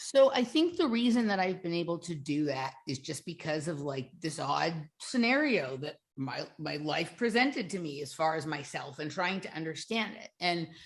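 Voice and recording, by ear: Using big pitch swings and few pauses, a woman with a low pitch talks at a moderate pace.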